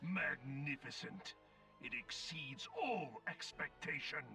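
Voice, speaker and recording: A put-on character voice moves at a fairly slow pace with lively intonation, and background noise is clearly heard. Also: man, fairly high pitch for a man. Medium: video game. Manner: cold, formal, imposing.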